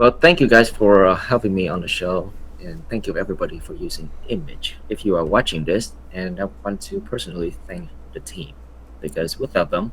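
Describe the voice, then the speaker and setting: A man with a Vietnamese accent speaks fairly quickly in a very deep, low voice. His pitch swings very widely and his loudness rises and falls a lot. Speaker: software founder. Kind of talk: casual interview.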